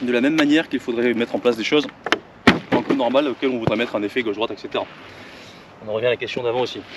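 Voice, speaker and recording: A man's voice sits at a medium pitch. Noticeable background noise is present throughout. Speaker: golf coach. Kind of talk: tutorial. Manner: fast.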